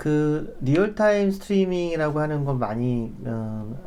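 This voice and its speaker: Audible room echo surrounds a man's dark, mellow tone. His intonation is lively. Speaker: data architect presenting a webinar. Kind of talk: webinar presentation with demo. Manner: many filler hesitations.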